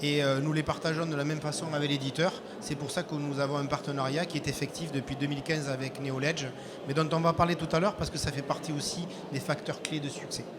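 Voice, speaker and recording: A man's fairly high voice at a very fast pace, monotone and flat, over noticeable background noise. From southwest France. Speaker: IT integrator company representative. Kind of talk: business presentation.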